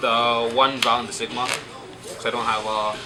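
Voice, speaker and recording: A man's medium-pitched, monotone, flat delivery carries audible room echo amid noticeable background noise. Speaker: card game player presenting his deck. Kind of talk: casual deck showcase. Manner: fast; halting.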